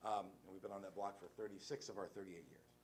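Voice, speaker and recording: A man talks at a very fast pace. His pitch is fairly low, and there is audible room echo. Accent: American. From West Virginia. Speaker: lawyer and nonprofit director. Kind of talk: conference talk. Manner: casual, halting with fillers.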